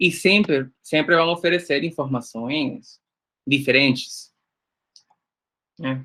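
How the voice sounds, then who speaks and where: Long, frequent pauses break up a very slow delivery in a bright, sharp tone with ordinary pitch variation. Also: man, fairly high pitch for a man. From Nicaragua. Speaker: workshop instructor. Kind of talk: lecture. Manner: halting.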